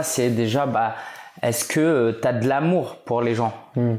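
With ordinary pitch variation, a man talks in a mid-range pitch at a very slow rate. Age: 30s. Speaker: entrepreneur and blogger. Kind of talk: casual interview.

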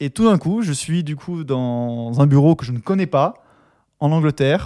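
At a fairly slow pace, a man with a fairly high pitch, ordinary pitch variation and a dark, mellow tone is captured in a dry, close sound with no echo on a very clean recording with a silent background. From France and Austria. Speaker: business developer, podcast co-host. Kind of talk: casual chat.

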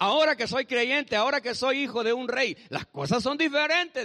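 A raised, projected voice with a bright, sharp tone, an animated delivery and a fairly quick pace. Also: man. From El Salvador. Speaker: pastor. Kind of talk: sermon. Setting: church.

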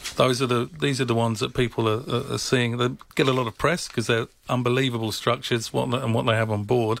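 A man with a medium-pitched voice talks at a very fast pace. His intonation stays fairly even. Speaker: travel agency manager. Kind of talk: radio interview, casual chat. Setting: radio studio.

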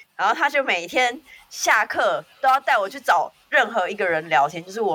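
A woman talks in an animated tone with very wide pitch swings at a moderate pace. Noticeable background noise runs underneath. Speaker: podcast co-host. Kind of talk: casual chat. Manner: animated, laughing often.

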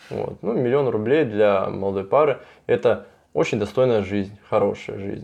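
A man with an ordinary speaking voice, fairly low in pitch, moderate in pace, with ordinary pitch variation and a quiet background. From southern Russia. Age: 20s. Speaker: construction company owner. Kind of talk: interview.

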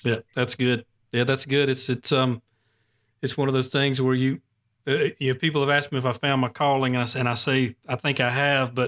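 A man talks at a medium pitch and a fairly quick pace in a Southern US accent. His intonation is monotone and flat, and the sound is dry and close with no echo. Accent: Southern US (Georgia). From Gwinnett County, Georgia, US. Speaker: podcast host. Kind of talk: interview conversation.

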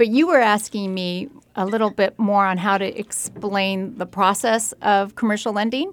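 With a normal speaking voice, a woman talks at a moderate pace and a medium pitch, with fairly even intonation. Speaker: commercial lender. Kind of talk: radio interview.

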